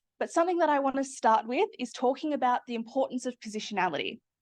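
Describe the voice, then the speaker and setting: A woman with an Australian accent, high-pitched and with lively intonation. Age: 20s. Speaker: PhD student. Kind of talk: academic presentation. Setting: seminar room with audience.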